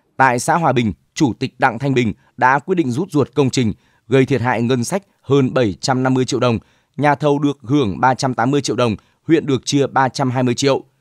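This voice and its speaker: Here a man with a plain, everyday voice speaks at a medium pitch, recorded dry and close with no echo. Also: ordinary pitch variation, moderate pace. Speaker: news presenter. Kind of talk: news reading. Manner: formal.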